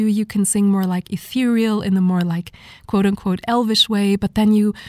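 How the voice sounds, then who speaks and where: A breathy voice at a fairly quick pace. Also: woman, dry, close sound with no echo. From Germany. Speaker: vocalist. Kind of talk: interview. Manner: halting.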